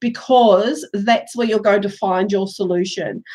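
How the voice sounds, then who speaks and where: A woman's fairly high pitch with ordinary variation, a moderate pace and an ordinary speaking voice. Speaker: tarot reader. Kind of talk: live tarot reading. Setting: live stream.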